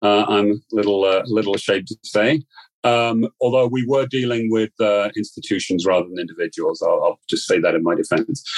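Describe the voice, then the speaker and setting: Speaking at a fairly quick pace with a British accent, a medium-pitched man uses ordinary pitch variation in a dry, close sound with no echo. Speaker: financial educator. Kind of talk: interview. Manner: diplomatic, measured.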